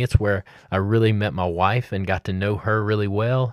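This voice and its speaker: Against a silent background in a very clean recording, a man with a Southern US accent speaks at a moderate pace, with fairly low pitch and fairly even intonation. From Mississippi. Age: 40s. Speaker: student pastor. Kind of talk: podcast monologue. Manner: halting.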